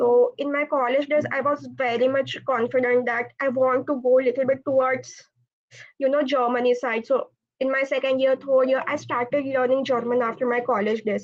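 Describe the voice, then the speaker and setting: In a Marathi accent, a woman speaks at a high pitch with monotone, flat intonation. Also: moderate pace. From India, Pune. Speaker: automotive engineer, college alumna. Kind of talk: panel Q&A answer.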